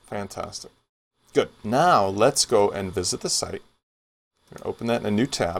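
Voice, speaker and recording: With an American accent, a man at a medium pitch talks at a moderate pace with lively intonation, big swings in loudness, and long, frequent pauses. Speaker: software tutorial instructor. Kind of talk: tutorial. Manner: casual, conversational.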